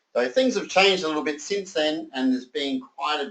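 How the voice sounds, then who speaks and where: The voice has an Australian accent and lively intonation. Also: man. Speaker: sales presenter. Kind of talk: sales pitch. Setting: conference call. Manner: animated.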